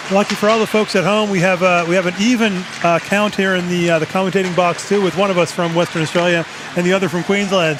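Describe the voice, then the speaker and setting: A man with an Eastern Canadian accent speaks at a very fast pace in a high pitch with fairly even intonation. Noticeable background noise sits behind him. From Eastern Canada. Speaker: ice hockey commentator. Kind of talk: live sports commentary. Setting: commentary box at ice rink.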